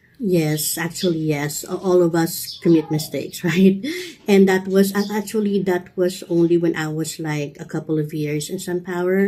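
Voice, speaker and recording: A woman with a fairly low pitch speaks at a moderate pace and fairly even intonation, noticeable background noise behind her. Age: 50s. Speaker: customer support representative. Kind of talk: interview answer. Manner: slight stutter.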